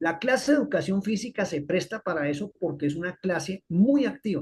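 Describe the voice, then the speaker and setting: This man's voice sits high for a man and moves at a fairly slow pace. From Colombia. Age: 60s. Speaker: physiology professor. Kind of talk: lecture.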